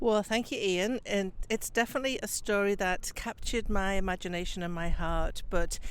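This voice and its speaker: With a Liverpool accent, a woman of medium pitch speaks at a moderate pace with ordinary pitch variation and hardly any pauses. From Liverpool, England. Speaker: psychic medium. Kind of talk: interview.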